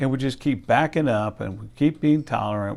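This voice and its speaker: On a very clean recording with a silent background, a man talks at a medium pitch in a dark, mellow tone. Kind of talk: sermon-style talk to camera. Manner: conversational, earnest, slightly indignant.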